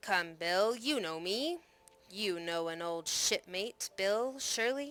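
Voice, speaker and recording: A woman's growling, put-on character voice at a medium pitch and a fairly slow pace. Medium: read story. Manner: snarling, sly.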